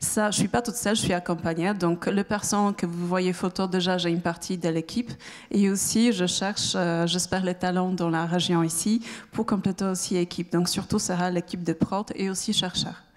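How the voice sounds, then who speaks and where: A woman speaks at a moderate pace with a medium pitch, fairly even intonation and very even loudness. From Poland. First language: Polish (speaking French). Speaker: startup founder. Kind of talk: pitch presentation. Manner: halting, many hesitations.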